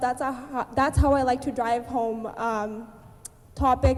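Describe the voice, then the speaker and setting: Speaking at a moderate pace, a woman has a high-pitched voice. Noticeable background noise can be heard. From Abbotsford, British Columbia, Canada. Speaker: spoken word artist and writer. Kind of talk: conference talk to a student audience.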